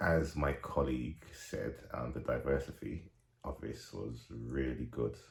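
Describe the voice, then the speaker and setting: A man's very deep, low pitch comes through noticeable background noise. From England, Nigerian family. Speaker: actor and radio DJ. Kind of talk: interview.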